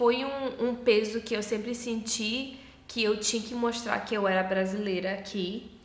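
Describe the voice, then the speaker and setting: Fairly slow, fairly even speech in a northeastern Brazilian accent, with noticeable background noise. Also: woman, fairly high pitch for a woman. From Hawaii, USA. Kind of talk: casual talk to camera.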